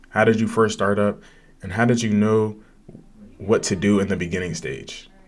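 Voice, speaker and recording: A man's fairly low-pitched voice at a fairly quick pace, with audible room echo. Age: young. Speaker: podcast host. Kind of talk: casual chat. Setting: livestream with chat. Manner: animated.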